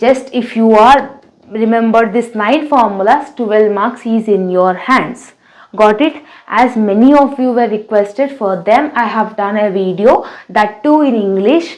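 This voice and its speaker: A woman's fairly high voice in an Indian accent, at a fairly slow pace with ordinary pitch variation. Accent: Indian English, Telugu. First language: Telugu. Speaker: teacher. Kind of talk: tutorial.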